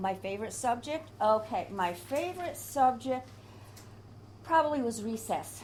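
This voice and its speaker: In an American accent, the voice is somewhat breathy and animated in tone. It moves at a fairly slow pace with very wide pitch swings. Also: woman, fairly high pitch for a woman. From upstate New York, Adirondacks. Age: 70s. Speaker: oral history interviewee. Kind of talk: oral history interview.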